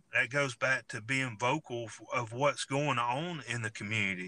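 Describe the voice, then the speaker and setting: A man with a Southern US accent, medium pitch, bright and sharp in tone, ordinary pitch variation, moderate pace, dry close sound with no echo. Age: 40s. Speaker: sheriff candidate and law enforcement officer. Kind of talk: interview. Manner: halting, repeats words.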